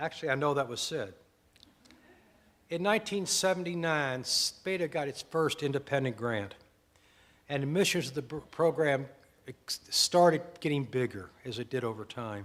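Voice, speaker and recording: Lively intonation marks a man with an American accent who talks at a moderate pace with long, frequent pauses. The recording is very clean, with a silent background. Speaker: former program director. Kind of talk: anniversary speech.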